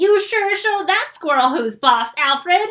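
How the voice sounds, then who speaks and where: A woman's put-on character voice at an extremely high pitch and a moderate pace. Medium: read story.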